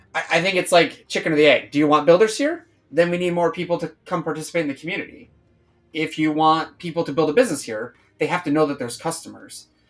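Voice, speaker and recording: Against music in the background, a man talks at a fairly quick pace in a fairly high voice. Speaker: crypto project streamer. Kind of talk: casual live stream chat. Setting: live stream. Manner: fast; hesitant, repeats words.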